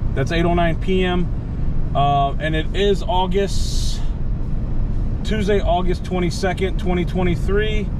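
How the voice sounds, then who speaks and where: The speech has long, frequent pauses and a dry sound with no echo. Noticeable background noise runs underneath. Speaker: driver vlogger. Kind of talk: casual vlog chat. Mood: relaxed, admiring sunset. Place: car. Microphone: phone near.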